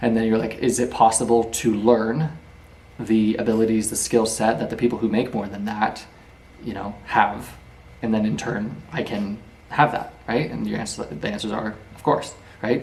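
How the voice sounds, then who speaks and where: Amid audible room echo, a man speaks with fairly even intonation and big swings in loudness. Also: medium pitch for a man. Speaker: YouTuber teaching book lessons. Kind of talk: lecture. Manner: fast.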